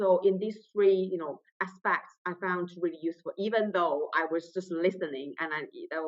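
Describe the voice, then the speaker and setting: A woman with a Chinese accent talks at a fairly quick pace. Her pitch is fairly low and her intonation fairly even. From China. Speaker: trainee solicitor. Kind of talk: interview.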